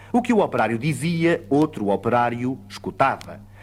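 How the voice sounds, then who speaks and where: A man with a European Portuguese accent speaks at a medium pitch and a fairly slow pace, his intonation lively, on a very clean recording with a silent background. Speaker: actor, poetry reciter. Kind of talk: poetry reading.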